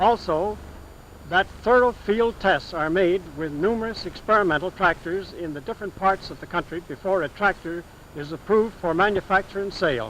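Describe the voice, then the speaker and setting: With an American accent, a man speaks at a moderate pace in a high voice with ordinary pitch variation over noticeable background noise. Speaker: farmer giving a testimonial. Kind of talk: testimonial speech about farm machinery.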